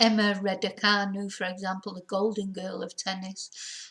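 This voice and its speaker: A somewhat breathy woman at a medium pitch and a fairly slow pace. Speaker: English teacher. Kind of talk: English lesson to camera.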